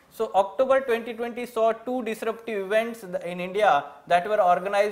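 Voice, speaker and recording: Ordinary variation marks the pitch. The man keeps a moderate speed. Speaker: exam coaching teacher. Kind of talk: lecture. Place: classroom.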